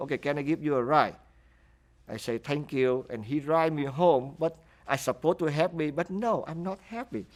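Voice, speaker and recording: In a very clean recording with a silent background, a man speaks with a Vietnamese accent. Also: fairly high pitch for a man, ordinary pitch variation, moderate pace. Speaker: refugee interviewee. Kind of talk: interview testimony. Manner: halting.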